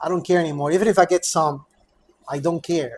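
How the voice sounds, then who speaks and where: A man speaks at a fairly quick pace. His pitch is high. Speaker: high school teacher and vlogger. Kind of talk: casual vlog monologue. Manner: fast; halting, many fillers and repeats.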